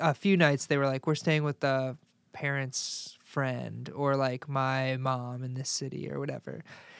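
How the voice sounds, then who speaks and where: The speaker has an ordinary speaking voice, with an American accent and a moderate pace. The very clean recording has a silent background and a dry, close sound with no echo. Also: man. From Chicago suburbs, Illinois. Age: 20s. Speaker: musician and sports reporter. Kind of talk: casual chat.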